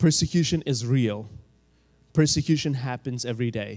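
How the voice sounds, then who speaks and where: Speaking fairly slowly, a man uses ordinary pitch variation in a dark, mellow tone. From Saudi Arabia. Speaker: church member. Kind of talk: church talk.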